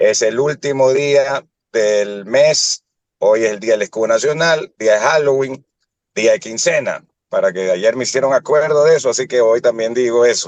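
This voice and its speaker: A man with a normal speaking voice talks at a moderate pace and medium pitch, with ordinary pitch variation and a dry, close sound with no echo. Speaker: radio host. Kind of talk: radio interview.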